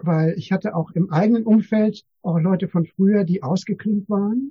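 The man's voice has a dark, mellow tone and a dry, close sound with no echo. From Germany, East Westphalia. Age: 60s. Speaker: meditation teacher and therapist. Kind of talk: casual interview. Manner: halting, many fillers.

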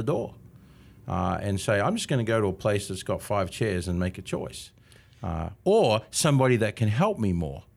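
With an Australian accent and lively intonation, a man talks at a moderate pace on a very clean recording with a silent background. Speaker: marketing consultant. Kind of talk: casual interview.

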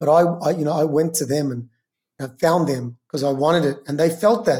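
At a fairly quick pace, a man with an Australian accent speaks in a fairly high pitch with a dark, mellow tone and ordinary pitch variation. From Melbourne, Australia. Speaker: real estate agent. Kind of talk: casual interview chat.

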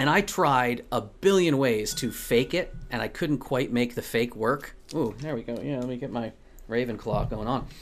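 A man with an American accent talks at a moderate pace and a medium pitch. His is an unremarkable speaking voice with ordinary pitch variation. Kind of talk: casual chat.

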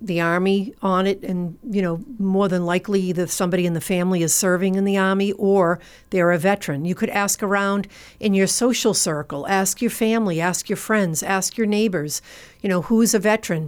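With a Massachusetts accent, a woman speaks at a fairly quick pace in a medium pitch and very even loudness, on a very clean recording with a silent background. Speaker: nonprofit founder and veterans outreach worker. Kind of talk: radio interview.

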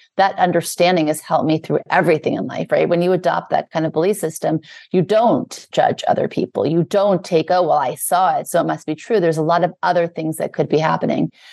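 A woman with an American accent, talking very fast with hardly any pauses, dry and close with no echo against a quiet background. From US South, Louisiana, then Beverly Hills. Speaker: spiritual teacher and author. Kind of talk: interview conversation.

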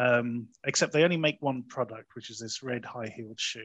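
The speaker is a man with an English accent. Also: quiet background. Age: 40s. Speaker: podcast host, film reviewer. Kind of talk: casual chat.

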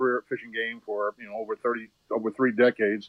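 The pitch of this man's voice varies in an ordinary way. He talks very fast. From Maine. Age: 70s. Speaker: wildlife biologist. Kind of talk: casual interview. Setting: phone call.

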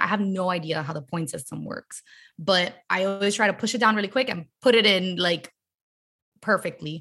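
At a fairly quick pace, a woman speaks in a bright, sharp tone. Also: very clean recording, silent background. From Miami, Florida. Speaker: performer and creative. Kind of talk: casual chat. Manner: fast talker.

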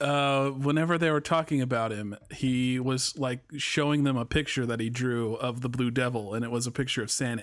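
A man's unremarkable speaking voice at medium pitch, moderate pace and fairly even intonation, with hardly any pauses, on a very clean recording with a silent background. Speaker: editor and co-host.

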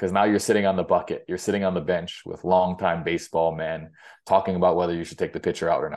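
A man talks very fast in a very deep, low voice. His delivery is monotone and flat, with a quiet background. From Hawaii (Big Island). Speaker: baseball coach. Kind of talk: interview, casual chat. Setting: phone call.

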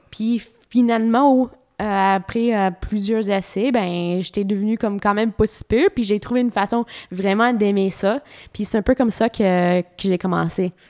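Her pace is fairly slow and her intonation fairly even, at a medium pitch for a woman. She has an ordinary speaking voice, recorded very cleanly against a silent background, with a dry, close sound and no echo. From Ontario, Canada. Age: 30s. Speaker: professional cyclist. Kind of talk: interview. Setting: at home.

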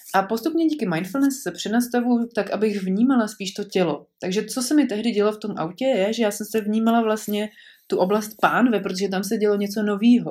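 A woman's fairly high voice, a plain, everyday voice, with hardly any pauses, on a very clean recording with a silent background. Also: ordinary pitch variation, fairly quick pace. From Prague, Czechia. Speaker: podcaster, mother. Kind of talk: personal storytelling monologue.

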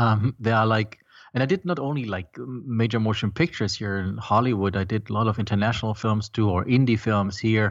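A man with a German accent, fairly low in pitch and fairly quick, with ordinary pitch variation against a quiet background. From Germany. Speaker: film composer and startup founder. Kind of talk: interview.

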